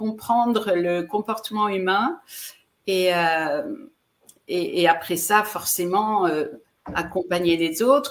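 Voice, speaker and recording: At a very slow pace, a woman speaks in a medium pitch, leaving long, frequent pauses. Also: ordinary pitch variation. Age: 60s. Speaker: relationship coach and speaker. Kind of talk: interview. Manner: halting, with repeated words and fillers.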